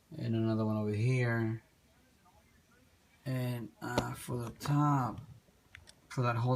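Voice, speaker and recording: A man with a medium pitch speaks at a very slow pace in a monotone, flat intonation, with noticeable background noise. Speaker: toy diorama hobbyist. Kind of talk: tutorial. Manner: soft-spoken; halting.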